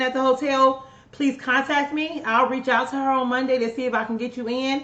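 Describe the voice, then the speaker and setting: This is a woman speaking. Her voice sits high in pitch. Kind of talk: live stream announcements. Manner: fast.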